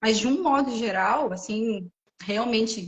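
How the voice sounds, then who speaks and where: A woman with an ordinary speaking voice, fairly high in pitch, with ordinary pitch variation. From Brazil. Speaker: French teacher. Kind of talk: casual chat. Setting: livestream.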